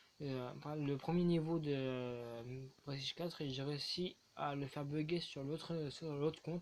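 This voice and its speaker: A soft-spoken, mumbling man with a fairly high pitch, fairly even intonation and a moderate pace. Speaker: gaming and fitness youtuber. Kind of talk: casual video talk to viewers.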